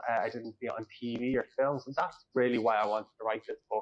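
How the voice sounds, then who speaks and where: A man speaks in an Irish accent at a medium pitch, with monotone, flat intonation. The sound is dry and close, with no echo. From Ireland, North Dublin. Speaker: author. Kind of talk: interview.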